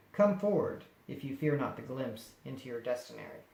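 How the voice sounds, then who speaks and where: Put-on character voice at a fairly quick pace, big swings in loudness, a slight echo. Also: man, medium pitch for a man. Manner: lavish, inviting yet ominous.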